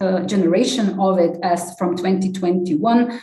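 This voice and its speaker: This voice carries a Slovenian accent and ordinary pitch variation. Audible room echo surrounds it. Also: woman. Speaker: development project team leader and civil society activist. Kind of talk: conference talk. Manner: halting, many fillers.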